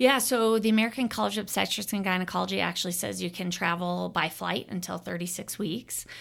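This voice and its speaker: A woman's fairly low voice with vocal fry and ordinary pitch variation, at a very fast pace. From Arizona. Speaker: obstetrician-gynecologist. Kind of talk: interview.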